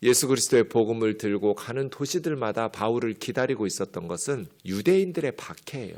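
A man's normal speaking voice at a medium pitch, with lively intonation, a fairly quick pace and hardly any pauses, on a very clean recording with a silent background. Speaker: pastor. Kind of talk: sermon.

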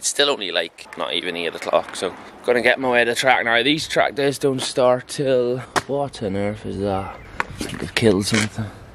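A man's voice at a moderate pace with ordinary pitch variation, amid noticeable background noise, the sound dry with no echo. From England. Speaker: motorcycle track day vlogger. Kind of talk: vlog narration. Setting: on location, roadside services and race track. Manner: casual, chatty. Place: open country. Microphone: phone near.

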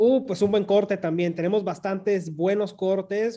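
A man talks at a moderate pace in a high pitch. His tone is dark and mellow. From Mexicali, Baja California, Mexico; Baja California, Mexico. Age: young. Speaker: consulate official; guest. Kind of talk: radio interview. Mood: friendly, upbeat. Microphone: video call.

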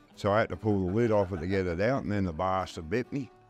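Faint music sits in the background as a man speaks with ordinary pitch variation, the sound dry with no echo. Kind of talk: interview answer. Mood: jovial storytelling, laughing. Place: bar. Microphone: lapel.

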